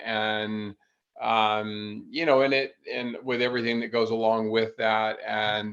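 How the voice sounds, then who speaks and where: Very slow speech from a man at medium pitch, monotone and flat in intonation. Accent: American. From US South, North Carolina. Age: 60s. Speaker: endurance athlete. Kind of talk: podcast interview.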